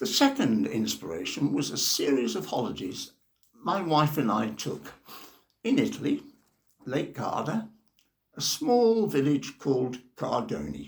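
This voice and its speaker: The speaker has an English accent and talks at a fairly slow pace. Long pauses come often. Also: man. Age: 70s. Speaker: novelist, retired teacher. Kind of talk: personal introduction monologue.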